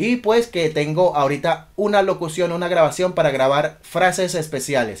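The background stays quiet. A man's high-pitched voice moves with ordinary pitch variation. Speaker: DJ. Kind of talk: casual talk to camera. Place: home room.

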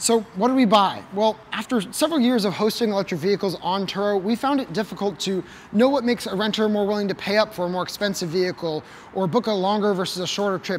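A man talks at a very fast pace and a high pitch. Light background noise is present. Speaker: car channel host. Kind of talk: presenter explainer. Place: garage.

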